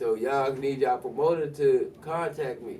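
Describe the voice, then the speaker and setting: Over noticeable background noise, a man with a fairly high voice talks at a moderate pace with ordinary pitch variation. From Washington DC, Northeast. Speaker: rapper. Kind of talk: casual interview.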